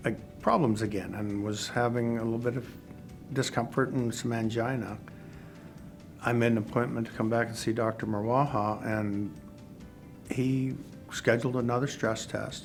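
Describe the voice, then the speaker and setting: Fairly even intonation at a moderate pace, long, frequent pauses, and music in the background. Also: man, medium pitch for a man. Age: 60s. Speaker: heart attack patient. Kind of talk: interview answer.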